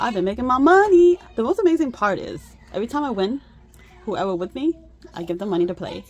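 Over crowd noise in the background, a woman talks at a very fast pace in a dry sound with no echo. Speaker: budgeting channel host. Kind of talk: casual vlog chat. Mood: cheerful, laughing. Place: home room. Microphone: phone near.

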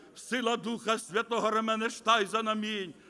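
Raised and projected, a man's voice with a bright, sharp tone comes at a fairly slow pace. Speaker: visiting preacher. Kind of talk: sermon. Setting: church.

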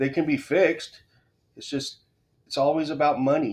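The pace is moderate. The pitch varies in an ordinary way. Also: man. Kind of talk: casual opinion rant to camera. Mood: irritated, ranting. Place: home room.

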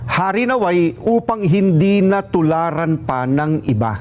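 His pitch is high for a man. This man's voice swings very widely in pitch. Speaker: statement reader. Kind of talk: formal statement reading, rally-style address. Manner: formal, solemn, measured.

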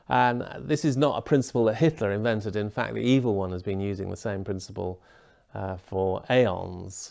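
Against a quiet background, a man with a dark, mellow tone speaks at a fairly low pitch and a moderate pace. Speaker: lecturer on bioethics. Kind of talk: lecture. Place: home room. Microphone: lapel.

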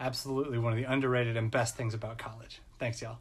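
A somewhat breathy man's voice at medium pitch. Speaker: college success staff. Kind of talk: personal testimony. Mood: warm, reflective, fond. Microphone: phone near.

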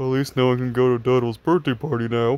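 A man puts on a character voice at a medium pitch. He speaks at a very fast pace.

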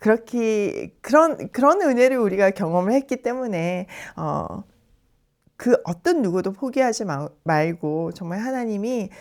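A woman speaks at a fairly slow pace with very wide pitch swings on a very clean recording with a silent background. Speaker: Bible teacher. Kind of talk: Bible study lesson with scripture reading. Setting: recorded in the evening while traveling in Jeju.

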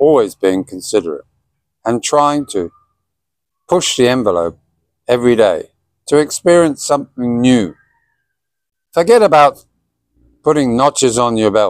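In a dry recording with no echo and a quiet background, a man with a British accent talks at a moderate pace, leaving long, frequent pauses. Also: lively intonation. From Britain. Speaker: vlogger. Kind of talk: casual monologue to camera. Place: garden. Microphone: phone near.

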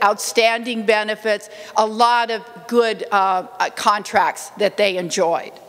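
Speaking at a very slow pace, a woman is heard. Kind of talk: formal public address. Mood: serious, earnest. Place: hall. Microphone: podium.

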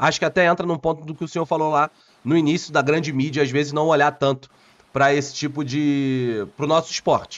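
A plain, everyday voice moves at a fairly quick pace with fairly even intonation. The background is quiet. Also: man, fairly high pitch for a man. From Rio de Janeiro, Brazil. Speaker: football pundit and YouTuber; football pundit, YouTuber. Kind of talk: interview. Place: home room.

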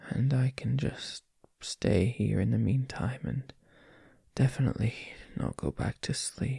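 Soft-spoken, fairly slow speech with a dry, echo-free sound and a quiet background. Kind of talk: intimate roleplay audio, addressing listener. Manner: sleepy, soft early-morning boyfriend voice.

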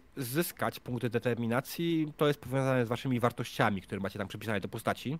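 With hardly any pauses, a man talks with ordinary pitch variation in a dry sound with no echo. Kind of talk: rules explanation to players and stream chat. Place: home room. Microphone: studio mic.

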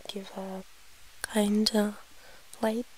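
A woman at medium pitch in a monotone, flat delivery, over noticeable background noise. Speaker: ASMR creator. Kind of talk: ASMR eating video, soft-spoken talk to camera. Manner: soft, quiet, breathy.

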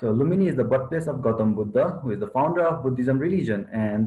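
A man at a very fast pace, lively intonation, somewhat breathy, with audible room echo. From Nepal, around Lumbini; Nepal. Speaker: student chapter leader; presenter. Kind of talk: presentation. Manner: halting. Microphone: video call.

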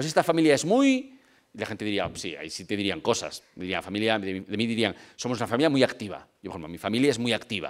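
A man's very fast speech with lively intonation over a quiet background. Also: medium pitch for a man, big swings in loudness. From Spain, Vigo (Galicia); Galicia, Spain. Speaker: lecturer on family pastoral work. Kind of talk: lecture. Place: hall. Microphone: podium.

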